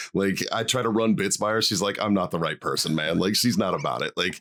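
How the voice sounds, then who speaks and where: The speaker has a Boston accent. Noticeable background noise runs underneath. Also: man. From Boston, Massachusetts (South Boston). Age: 40s. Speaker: stand-up comedian and former Marine. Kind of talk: casual interview chat. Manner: casual, filler-heavy with repetitions.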